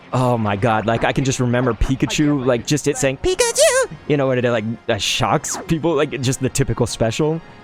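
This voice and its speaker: A man speaks at a medium pitch and a moderate pace. Music plays in the background. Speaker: gaming streamer. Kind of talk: live gameplay commentary. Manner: casual; animated.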